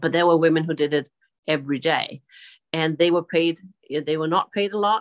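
A woman's very deep, low voice in a Danish accent, with ordinary pitch variation. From Denmark. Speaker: sustainability advisor and gender equality advocate. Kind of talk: interview. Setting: video call, outdoors on a terrace.

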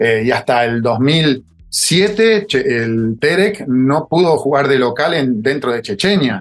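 A man's fairly high voice at a very slow pace, with very wide pitch swings and hardly any pauses. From Córdoba, Argentina. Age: 40s. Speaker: former footballer. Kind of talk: interview. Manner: halting, repetitive.

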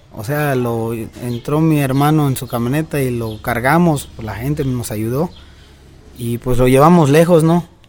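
An ordinary speaking voice goes at a fairly slow pace. Its pitch varies in an ordinary way. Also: man. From Mexico, Yucatán. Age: 20s. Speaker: rodeo roper and cattle trader. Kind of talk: interview.

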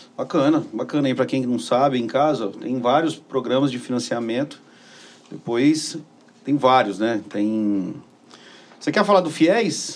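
Pausing long and often, a man talks at a fairly slow pace and medium pitch with lively intonation. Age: 60s. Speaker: podcast host. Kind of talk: interview. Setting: studio.

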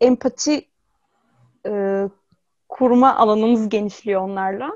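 Recorded dry and close with no echo against a quiet background, a woman in an unremarkable speaking voice, fairly high in pitch, talks at a moderate pace with ordinary pitch variation. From Izmir, Turkey. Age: 20s. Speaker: robot psychologist. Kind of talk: interview.

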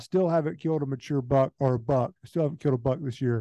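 A man with a Southern US accent speaks at a fairly high pitch, with ordinary pitch variation. His tone is dark and mellow, and the sound is dry and close with no echo. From Georgia, US. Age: 30s. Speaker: hunter and land manager. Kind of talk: casual chat. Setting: phone call.

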